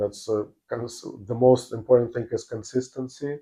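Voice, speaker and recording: Speaking with a non-native accent, a man has a dark, mellow tone. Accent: foreign. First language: not English. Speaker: real estate agent. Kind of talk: interview. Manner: halting, many fillers.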